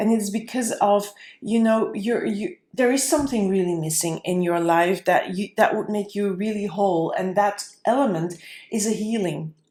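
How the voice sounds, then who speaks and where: A woman's medium-pitched voice with a non-native accent, a dark, mellow tone, moderate pace and ordinary pitch variation. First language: not English. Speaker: tarot reader. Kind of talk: tarot reading. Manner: halting, with fillers.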